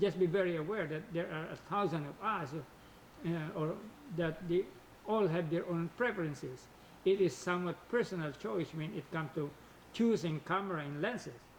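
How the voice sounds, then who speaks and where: A man with a non-native accent talks at a moderate pace in a high voice with ordinary pitch variation. He leaves long, frequent pauses. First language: not English. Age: old. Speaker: hobbyist photographer and video creator. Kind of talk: scripted tutorial narration.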